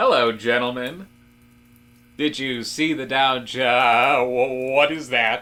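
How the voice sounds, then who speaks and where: Someone talks in a put-on character voice at a fairly slow pace with fairly even intonation. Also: man, medium pitch for a man. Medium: audio drama. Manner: polite, easily flustered.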